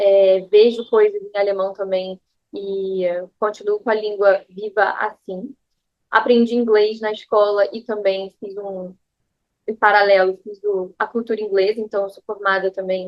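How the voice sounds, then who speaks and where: At a fairly slow pace, a woman speaks with monotone, flat intonation at medium pitch, her loudness swinging widely. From Brazil, Rio de Janeiro. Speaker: yoga teacher. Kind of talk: casual personal talk to camera.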